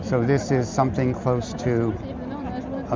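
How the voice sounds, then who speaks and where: A man with an American accent at a medium pitch and fairly slow pace, with audible room echo and noticeable background noise. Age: 70s. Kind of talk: casual vlog talk to camera. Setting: outdoors in a crowd.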